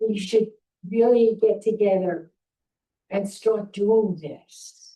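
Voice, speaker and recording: A woman with a New York accent, dark and mellow in tone, medium-pitched, monotone and flat, at a very slow pace. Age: 80s+. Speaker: town hall attendee, volunteer. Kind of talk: public comment at town hall. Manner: halting, repetitive.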